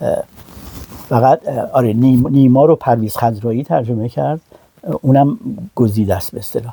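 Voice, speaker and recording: A man talks at a moderate pace with a medium pitch and ordinary pitch variation. His delivery has long, frequent pauses, and the sound is dry and close with no echo. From Iran. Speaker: translator and publisher. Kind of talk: interview. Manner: halting, many fillers.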